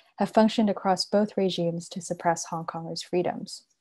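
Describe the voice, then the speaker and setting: On a very clean recording with a silent background, a woman speaks with fairly even intonation in a dark, mellow tone. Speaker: panelist from a media collective. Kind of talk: conference panel talk. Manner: speaking quietly.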